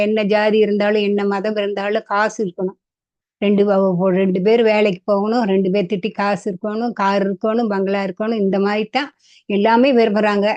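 A woman with a medium pitch speaks in a monotone, flat intonation, recorded with a dry, close sound and no echo. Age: old. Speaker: grandmother sharing views. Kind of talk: casual talk to camera. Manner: halting.

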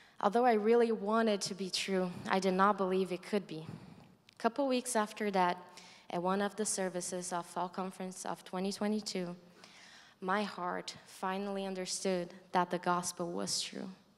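A woman's voice with a Brazilian accent and fairly even intonation. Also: moderate pace. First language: Portuguese. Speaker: college student. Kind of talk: testimony. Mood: earnest, reflective. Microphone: handheld.

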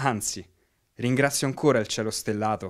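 A man talks at a moderate pace with medium pitch, fairly even intonation and an ordinary speaking voice. The recording is very clean, with a silent background. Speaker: amateur storyteller in a digital storytelling workshop. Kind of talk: scripted first-person digital story, a poetic memoir read aloud over images. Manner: wistful, gently awed tone rising to a reflective close.

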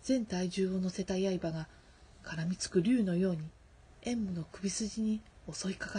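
This is someone reading aloud in a natural voice with ordinary pitch variation.

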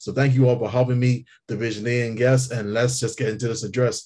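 A somewhat breathy man speaks at a fairly quick pace in a dark, mellow tone. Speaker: public relations manager and trainer. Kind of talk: motivational speech. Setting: video call. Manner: halting. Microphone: video call.

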